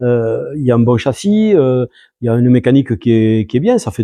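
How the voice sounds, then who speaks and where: Lively intonation in a dark, mellow tone, with a dry, close sound with no echo and a quiet background. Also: man. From southern France. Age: 70s. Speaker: rally driver. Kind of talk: interview. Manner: halting, many hesitations.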